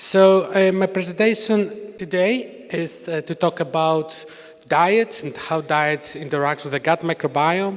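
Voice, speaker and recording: Over noticeable background noise, the speaker talks at a fairly slow pace in a Greek accent, with ordinary pitch variation. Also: man, high pitch for a man. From Greece. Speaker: university researcher. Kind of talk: conference talk.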